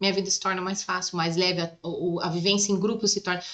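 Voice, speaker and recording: A woman speaks at a moderate pace in a medium pitch. It is an ordinary speaking voice. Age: 30s. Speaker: psychoanalyst and massage therapist. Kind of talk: casual chat.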